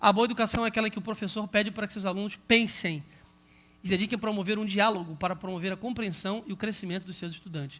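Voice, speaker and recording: Delivered at a very fast pace, the voice has a bright, sharp tone and fairly even intonation. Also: man. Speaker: pastor and Bible school teacher trainer. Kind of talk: lecture.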